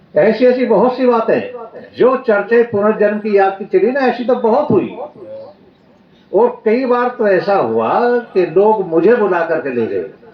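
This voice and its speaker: A man's high-pitched voice with ordinary pitch variation, set against noticeable background noise. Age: 70s. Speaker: Arya Samaj swami and preacher. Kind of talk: religious discourse.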